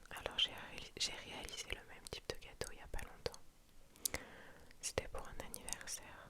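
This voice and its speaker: Whispering at a moderate pace with long, frequent pauses, a woman comes through over noticeable background noise. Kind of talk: ASMR scrolling Pinterest, casual talk to camera. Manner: whispered, soft-spoken.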